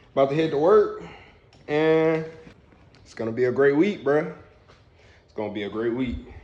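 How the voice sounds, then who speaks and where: Against noticeable background noise and audible room echo, a man with a fairly high pitch speaks with long, frequent pauses and big swings in loudness. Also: moderate pace. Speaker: vlogger and engineer. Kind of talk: casual vlog. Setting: gym.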